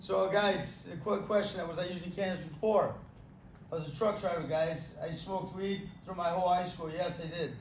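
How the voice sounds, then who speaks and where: A man with a high pitch talks at a moderate pace in a monotone, flat intonation, with audible room echo and noticeable background noise. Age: 30s. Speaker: amputee giving a talk on pain and cannabis. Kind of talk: Q&A talk to an audience. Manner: halting, repeats words.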